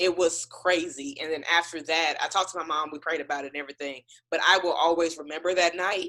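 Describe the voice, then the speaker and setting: The tone is bright, sharp, and animated. The pace is very fast. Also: woman, fairly low pitch for a woman. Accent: American. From Texas, Houston. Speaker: singer and author. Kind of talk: casual interview.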